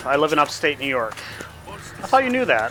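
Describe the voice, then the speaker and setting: Someone talks at a very fast pace with very wide pitch swings, in an American accent. Noticeable background noise runs underneath. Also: man. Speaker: game streamer. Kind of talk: live gameplay commentary. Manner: casual, chatty.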